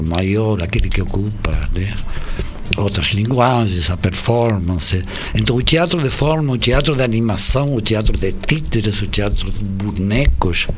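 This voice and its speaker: A man at medium pitch and a fairly slow pace, lively in intonation, with music in the background and audible room echo. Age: 70s. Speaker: puppeteer and theatre maker. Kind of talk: radio interview. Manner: halting.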